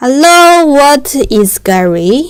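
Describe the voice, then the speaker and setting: The voice belongs to a woman. She has a Chinese accent. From China. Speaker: machinery salesperson. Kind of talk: live-stream sales pitch. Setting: live broadcast. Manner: halting.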